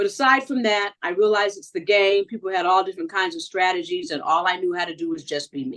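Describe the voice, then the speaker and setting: A woman talks at a fairly quick pace in a plain, everyday voice. Her pitch sits in the medium range. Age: 60s. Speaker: reality show contestant. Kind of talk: interview.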